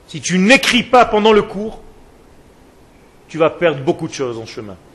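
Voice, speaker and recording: His high voice swings very widely in pitch, and the man's loudness rises and falls sharply too. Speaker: rabbi teaching a Torah class. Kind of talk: lecture. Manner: slow, soft, with deliberate pauses; repetitive, spiraling delivery.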